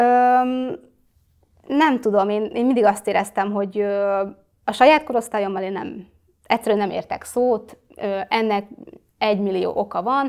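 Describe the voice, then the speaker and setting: A woman's fairly high voice at a fairly slow pace, with ordinary pitch variation and long, frequent pauses. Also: quiet background. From Hungary, Kecskemét; Hungary. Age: 20s. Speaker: social media influencer; interview guest, influencer. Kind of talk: interview. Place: studio. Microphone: lapel.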